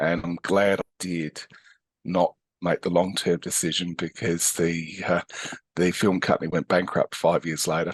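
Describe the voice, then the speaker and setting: A man speaks at a moderate pace with an Australian accent. The sound is dry and close with no echo, over a quiet background. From Australia, Adelaide. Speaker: physiotherapist and educator. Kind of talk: interview conversation. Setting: podcast interview. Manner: hesitant with many fillers.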